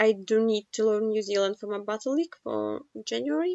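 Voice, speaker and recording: A woman speaks at a fairly high pitch with a non-native accent. Her pace is moderate. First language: not English. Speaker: geoguessr gaming youtuber. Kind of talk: game commentary. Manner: halting, many fillers.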